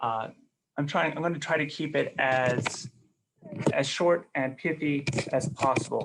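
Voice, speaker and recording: A soft-spoken man, fairly high in pitch, fairly slow and very even in loudness, with fairly even intonation and long, frequent pauses. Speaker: webinar presenter. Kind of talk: webinar presentation. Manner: halting, many fillers. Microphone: too quiet.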